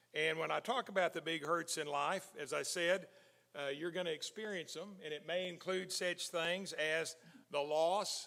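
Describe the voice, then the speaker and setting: Speaking with an American accent, a man uses a high, bright, sharp voice at a fairly slow pace with ordinary pitch variation. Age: 60s. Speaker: preacher. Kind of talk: sermon. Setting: church. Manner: conversational.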